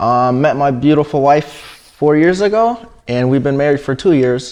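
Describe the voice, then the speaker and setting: Speaking with an American accent at a fairly slow pace, a man uses an ordinary speaking voice, fairly high in pitch, with ordinary pitch variation. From Washington state, US. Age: 20s. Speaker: siding contractor. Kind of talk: interview.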